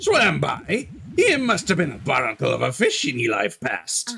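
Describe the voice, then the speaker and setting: A man speaks in a gruff, put-on character voice. His pace is moderate. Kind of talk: stock pirate voice. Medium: virtual streamer. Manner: gruff, theatrical pirate talk.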